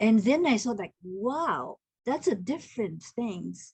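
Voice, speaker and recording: A woman speaks at a very slow pace with a Japanese accent. Her voice is somewhat breathy. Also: quiet background. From Japan (Tokyo). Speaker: haiku poet and translator. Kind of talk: online group discussion. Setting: video call. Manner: halting.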